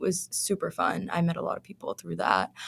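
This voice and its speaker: A woman with a Pennsylvania accent speaks at a moderate pace. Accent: American, Pennsylvania. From moved around as a child; from middle school, Philadelphia suburbs, Pennsylvania. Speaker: university researcher. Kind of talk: casual chat.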